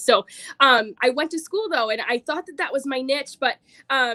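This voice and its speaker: An American woman with a high pitch speaks in a raised, projected voice, bright and sharp in tone. Her delivery is animated and fairly quick, recorded dry and close with no echo. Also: very clean recording, silent background. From Michigan (Roscommon). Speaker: direct sales consultant. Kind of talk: sales pitch.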